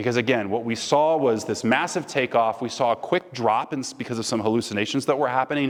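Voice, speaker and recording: At a fairly quick pace, a man of medium pitch and ordinary pitch variation talks in an ordinary speaking voice. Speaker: guest speaker. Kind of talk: lecture Q&A. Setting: stage with audience.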